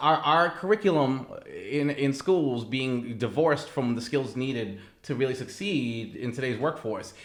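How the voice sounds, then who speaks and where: Over noticeable background noise, a man with an American accent speaks at a fairly slow pace, with a fairly high pitch and ordinary pitch variation. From Massachusetts. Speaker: risk management professional. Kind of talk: interview answer.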